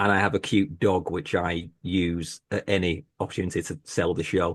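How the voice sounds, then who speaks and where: Over a quiet background, a man with a very deep, low pitch talks at a moderate pace with fairly even intonation. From Britain. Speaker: horror book podcaster. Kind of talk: panel discussion. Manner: hesitant, repeats words.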